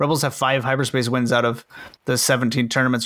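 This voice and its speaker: In a very clean recording with a silent background, a man speaks at a medium pitch with a bright, sharp tone. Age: 20s. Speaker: tabletop game podcast host. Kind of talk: casual chat.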